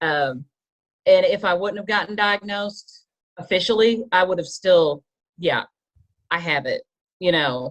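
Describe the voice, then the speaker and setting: With a Kentucky accent, a woman talks with ordinary pitch variation in a dry, close sound that has no echo. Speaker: podcast panelist. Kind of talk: group discussion.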